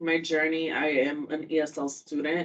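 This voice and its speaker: A woman with a Spanish accent speaks at a very deep, low pitch. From Puerto Rico. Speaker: university student-athlete advisor. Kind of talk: informal talk to students.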